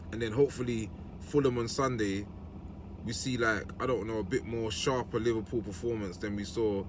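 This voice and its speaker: Talking at a fairly quick pace, a man has a fairly low voice. Noticeable background noise and audible room echo fill the recording. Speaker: football fan youtuber. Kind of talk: match reaction vlog. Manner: casual, conversational; fast.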